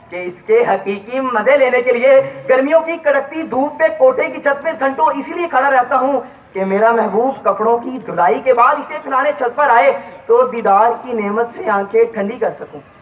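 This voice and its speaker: Noticeable background noise surrounds a man's voice. His pitch is extremely high, with ordinary pitch variation. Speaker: student speaker. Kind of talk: humorous stage speech.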